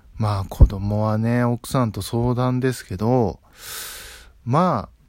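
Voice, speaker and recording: A man's medium-pitched voice in a relaxed tone. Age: 20s. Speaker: podcaster. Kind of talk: solo casual talk. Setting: at home.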